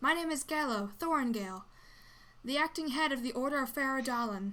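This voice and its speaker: On a very clean recording with a silent background, a woman puts on a high-pitched character voice. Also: fairly quick pace. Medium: actual play. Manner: pleading, dramatic.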